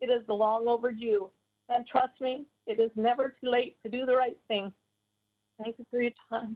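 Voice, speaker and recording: Pausing long and often, a woman speaks at a high pitch with fairly even intonation. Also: moderate pace. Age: 70s. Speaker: member of the public speaking at a town hall. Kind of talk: prepared public statement. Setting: virtual meeting call.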